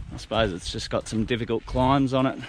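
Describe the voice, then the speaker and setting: A man at medium pitch speaks with an Australian accent and fairly even intonation over noticeable background noise. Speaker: hiking vlogger. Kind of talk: travel vlog narration. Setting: outdoors. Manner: casual, humorous.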